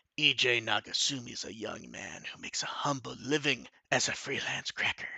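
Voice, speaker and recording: A man's put-on character voice, raspy and medium-pitched, at a fairly quick pace. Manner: put-on announcer voice.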